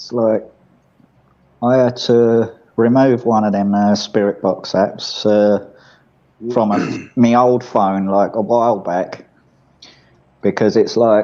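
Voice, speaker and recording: A man with an English accent, medium-pitched, very slow, with long, frequent pauses, a dark, mellow tone and flat, monotone intonation. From England. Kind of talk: casual chat.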